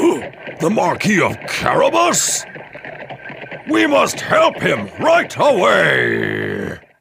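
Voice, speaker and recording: A man puts on a character voice and drags through the lines very slowly, pausing long and often. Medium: audio drama.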